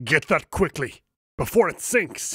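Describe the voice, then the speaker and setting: A raspy, put-on character voice from a man at a fairly slow pace. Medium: read story. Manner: stern, formal.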